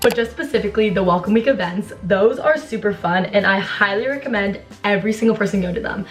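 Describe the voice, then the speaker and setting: Speaking at a very fast pace, a woman has a medium pitch with ordinary variation. Noticeable background noise surrounds her. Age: young, about 18 to 19. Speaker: college student vlogger. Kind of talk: get-ready-with-me advice vlog. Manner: casual, chatty.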